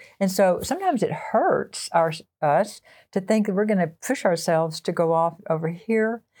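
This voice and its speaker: Her voice is medium in pitch with a dark, mellow tone, ordinary pitch variation and very even loudness. The woman speaks with a Texan accent in a very clean recording with a silent background. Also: moderate pace. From Texas (small town near the Red River). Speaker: associate pastor, former English teacher. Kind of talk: interview conversation.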